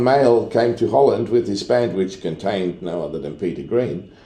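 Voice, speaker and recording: With audible room echo, a man of medium pitch speaks at a moderate pace in a dark, mellow tone with vocal fry and lively intonation. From Netherlands. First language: Dutch. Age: 60s. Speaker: sound engineer. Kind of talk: casual chat.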